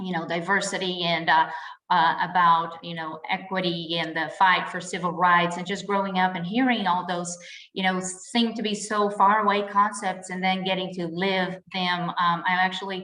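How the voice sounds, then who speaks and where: A woman speaks at a moderate pace in a medium pitch and a Portuguese accent, her intonation flat and monotone, with noticeable background noise and audible room echo. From Brazil. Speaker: insurance agent. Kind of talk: podcast interview.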